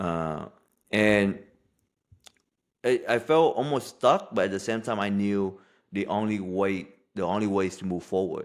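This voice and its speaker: A man with a Vietnamese accent at a fairly slow pace, ordinary pitch variation and long, frequent pauses. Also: fairly low pitch for a man. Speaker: life coach. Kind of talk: podcast interview.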